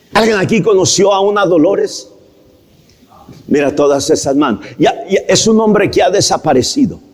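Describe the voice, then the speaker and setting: A man speaks in a high pitch at a very even loudness. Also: lively intonation, moderate pace. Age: 60s. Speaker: pastor. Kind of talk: sermon. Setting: church.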